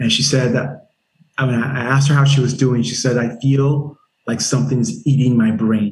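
A man speaks at a medium pitch and a moderate pace. His voice is somewhat breathy, with fairly even intonation. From Nigeria (Lagos), moved to South Carolina at 10. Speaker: army veteran and startup founder. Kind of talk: interview. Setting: podcast interview.

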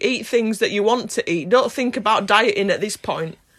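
An ordinary speaking voice. The pitch varies in an ordinary way. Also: woman. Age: 20s. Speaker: podcast host, university student. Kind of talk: casual family chat. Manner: upbeat and giggly.

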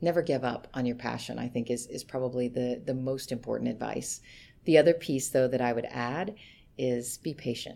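A woman's very deep, low voice with vocal fry, dark, mellow tone, ordinary pitch variation and a moderate pace. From Kentucky, US South. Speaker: HR executive. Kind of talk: interview. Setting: office.

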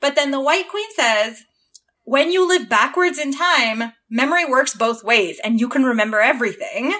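A woman with a Canadian accent uses a raised, projected voice at a high pitch, her tone bright, sharp and animated. She speaks at a moderate pace with lively intonation. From Southern Ontario, Canada. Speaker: engineer and fan artist. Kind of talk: casual chat.

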